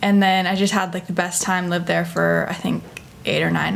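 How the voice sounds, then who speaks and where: A woman speaks with an American accent. The room echo is audible and the background noise noticeable. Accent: American with slight New Zealand breaks. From Northern California, US. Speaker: podcast guest. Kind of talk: casual chat.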